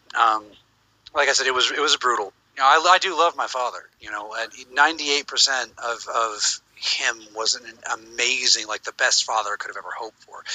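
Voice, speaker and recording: In a plain, everyday voice, a man with an American accent talks at a fairly quick pace and medium pitch. His pitch variation is ordinary, but his loudness swings a lot. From United States. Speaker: livestream host. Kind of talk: casual chat.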